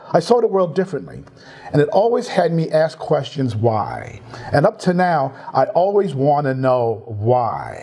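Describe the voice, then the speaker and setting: A man with a New York accent and fairly high pitch speaks at a fairly slow pace, his pitch swinging very widely, amid noticeable background noise. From New York City, Bronx. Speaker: tech industry team lead. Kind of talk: interview. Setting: livestream.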